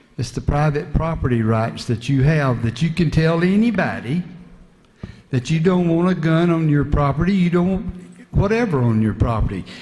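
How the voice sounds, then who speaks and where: Using lively intonation, a man with a Southern US accent speaks at a moderate pace with a fairly high pitch. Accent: Southern US (Georgia). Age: 60s. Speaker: state legislator. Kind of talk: floor speech in legislative debate. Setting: legislative chamber.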